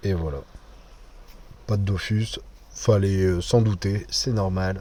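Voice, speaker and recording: Speaking with a northern French accent, a man talks at a very slow pace. His pitch is fairly low and his intonation fairly even. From northern France. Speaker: gaming YouTuber. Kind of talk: gameplay commentary. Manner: casual, hesitant with fillers.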